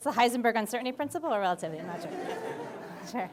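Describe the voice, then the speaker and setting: Her voice high in pitch, a woman speaks in an animated tone with very wide pitch swings. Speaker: physics professor. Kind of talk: public lecture. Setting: lecture hall with audience. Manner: loud.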